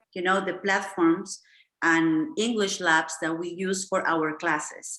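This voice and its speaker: Speaking at a fairly slow pace, a woman with a Spanish accent uses a medium pitch, ordinary pitch variation and a bright, sharp tone. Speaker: English teacher, language school founder. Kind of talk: online lesson. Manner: many fillers and restarts.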